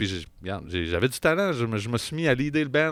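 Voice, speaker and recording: In a very clean recording with a silent background, a man speaks in an animated tone with very wide pitch swings. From Quebec, Bas-Saint-Laurent / Chaudière-Appalaches. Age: 30s. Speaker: jazz musician. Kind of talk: casual chat.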